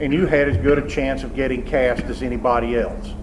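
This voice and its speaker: There is noticeable background noise and audible room echo. A man with a Southern US accent speaks at a fairly quick pace. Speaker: theater professor. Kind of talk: lecture. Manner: loud, projecting.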